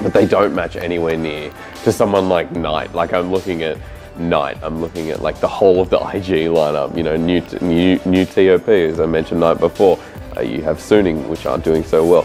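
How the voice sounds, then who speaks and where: Music plays in the background as a man speaks at a fairly quick pace. His pitch is very deep and low, and his intonation fairly even. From Oceania. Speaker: esports shoutcaster. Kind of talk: interview answer.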